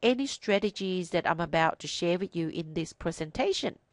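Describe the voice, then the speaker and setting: A woman talks fairly quickly with a non-native accent and lively intonation. The sound is dry and close with no echo, over a quiet background. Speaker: accountant and financial services business owner. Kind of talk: educational presentation.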